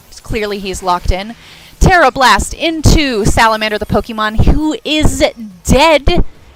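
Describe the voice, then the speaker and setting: Lively intonation from a woman at a fairly high pitch and moderate pace, with noticeable background noise. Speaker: stream commentator. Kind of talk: live commentary. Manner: stuttering; animated.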